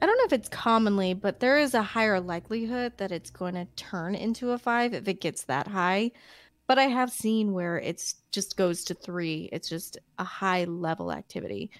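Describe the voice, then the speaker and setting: A woman speaks at a moderate pace and medium pitch in a plain, everyday voice. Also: ordinary pitch variation. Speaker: podcast host. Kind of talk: casual chat. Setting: livestream.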